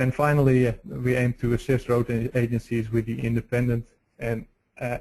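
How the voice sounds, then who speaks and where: With a Dutch accent, a man speaks at a fairly quick pace in a medium pitch, his tone dark, mellow and somewhat breathy, his intonation monotone and flat. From Netherlands. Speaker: road engineering researcher. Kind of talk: webinar presentation. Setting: webinar. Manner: halting, many fillers.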